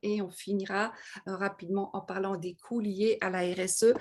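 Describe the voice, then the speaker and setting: A woman with a Parisian accent, medium pitch, fairly even intonation and a moderate pace. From France, Paris. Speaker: webinar presenter on corporate social responsibility. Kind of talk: lecture. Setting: video call. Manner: hesitant, many fillers.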